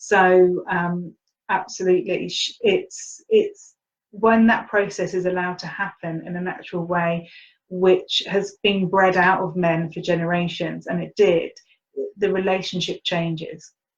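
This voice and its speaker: A woman with a medium-pitched, somewhat breathy voice speaks at a fairly slow pace in a monotone, flat intonation. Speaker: spiritual teacher and healer. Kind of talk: webinar talk.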